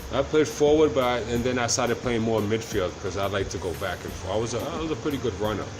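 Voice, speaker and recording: Music plays in the background as a man talks very fast with hardly any pauses and ordinary pitch variation, his voice carrying audible room echo. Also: medium pitch for a man. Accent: Massachusetts. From Brockton, Massachusetts, of Cape Verdean parents. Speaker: DJ. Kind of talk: casual chat.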